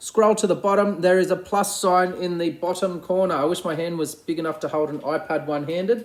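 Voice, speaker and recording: Talking at a fairly quick pace with an Australian accent, a man uses a high pitch and ordinary pitch variation. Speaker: primary school teacher. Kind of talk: recorded class update video. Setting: at home. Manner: fast.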